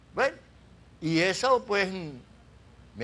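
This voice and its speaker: A man at a fairly slow pace. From Venezuela, Zulia (Cabimas). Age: 80s+. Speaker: retired oil worker. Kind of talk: interview.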